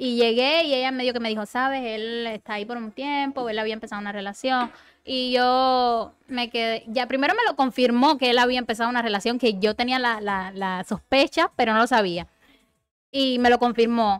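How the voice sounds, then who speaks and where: A woman's high voice with a Cuban accent. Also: fairly even intonation, moderate pace. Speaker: podcast guest. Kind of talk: casual chat.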